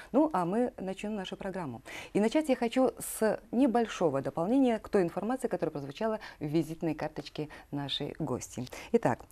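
Her pitch swings very widely and her loudness shifts a lot as this woman speaks at a fairly quick pace. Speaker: TV host. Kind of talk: TV interview host reading introduction. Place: studio. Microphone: lapel.

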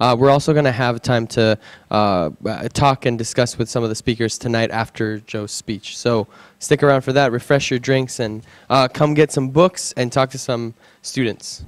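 A man talks at a moderate pace, his pitch varying in an ordinary way, with a quiet background behind him. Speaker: student organizer; event host. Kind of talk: event announcements. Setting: event venue with audience. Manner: casual, halting. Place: meeting room. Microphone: handheld.

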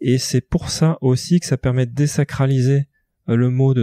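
A man speaks with a dark, mellow tone. The sound is dry and close, with no echo. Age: 40s. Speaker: business executive. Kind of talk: interview.

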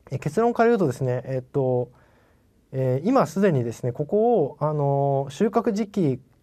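A man's fairly high-pitched voice, dark and mellow in tone, with lively intonation at a moderate pace against a quiet background. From Japan. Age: 40s. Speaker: company CEO; presenter. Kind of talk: investor presentation. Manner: polite, many fillers.

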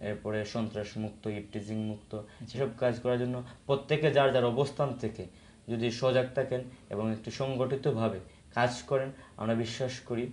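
A man speaks with fairly even intonation. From Sunamganj, Sylhet division, Bangladesh. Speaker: law student and youth organizer. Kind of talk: studio interview. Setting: studio. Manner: halting, with fillers.

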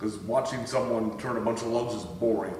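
A man is speaking over light background noise. Audible room echo surrounds his voice. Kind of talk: tutorial. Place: home room. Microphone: camera far.

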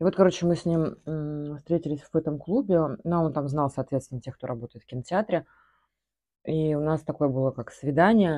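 Over a quiet background, a woman with a very deep, low pitch speaks at a moderate pace with ordinary pitch variation. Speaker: vlogger. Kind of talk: casual vlog chat, answering viewer questions. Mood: relaxed, reminiscing. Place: home room. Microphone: phone near.

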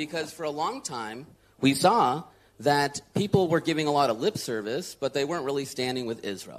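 A man with an unremarkable speaking voice talks at a moderate pace. His pitch is fairly high and his intonation lively. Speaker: advocacy leader. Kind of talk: panel discussion. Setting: stage with audience.

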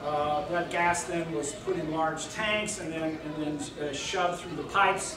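Noticeable background noise and audible room echo fill the recording. The speaker talks fairly slowly. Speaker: guest lecturer. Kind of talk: lecture. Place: hall.

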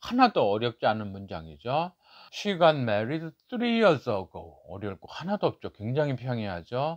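Against a quiet background, a man speaks at a fairly slow pace. His pitch swings very widely and his loudness shifts by big amounts. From South Korea. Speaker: book review YouTuber. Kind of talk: book review tutorial. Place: office.

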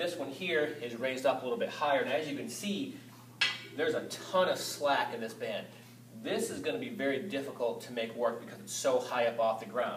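There is audible room echo and light background noise as a man speaks at a fairly quick pace. His intonation is lively. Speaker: fitness coach. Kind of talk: tutorial. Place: gym. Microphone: camera far.

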